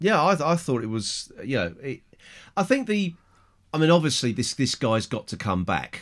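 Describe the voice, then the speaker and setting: This man has an English accent and a fairly high pitch. His voice shows vocal fry and very wide pitch swings. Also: moderate pace, very clean recording, silent background. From England. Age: middle-aged. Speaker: podcast host. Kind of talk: casual chat.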